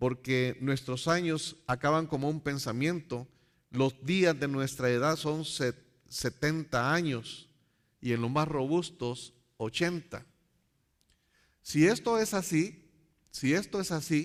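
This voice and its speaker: A man at a very slow pace, with long, frequent pauses, ordinary pitch variation, and a very clean recording over a silent background. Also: fairly high pitch for a man. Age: 60s. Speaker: Bible teacher. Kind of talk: Bible study lecture. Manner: halting, many repetitions and fillers.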